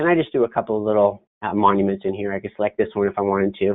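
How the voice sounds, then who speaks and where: A man talks at a very fast pace. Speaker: software trainer. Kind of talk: webinar tutorial. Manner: halting.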